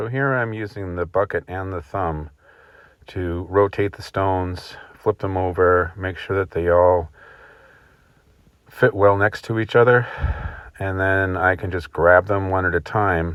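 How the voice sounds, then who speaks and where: With an American accent, a man talks at a fairly slow pace with long, frequent pauses, his very deep, low voice keeping fairly even intonation. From Rhode Island, USA. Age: 60s. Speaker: stone wall builder, excavator operator. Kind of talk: instructional voice-over narration.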